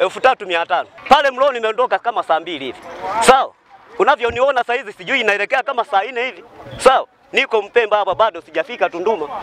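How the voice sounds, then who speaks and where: A man's fairly quick speech with ordinary pitch variation, dry sound with no echo, and light background noise. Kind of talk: interview answer. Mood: frustrated complaint. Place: street. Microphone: handheld.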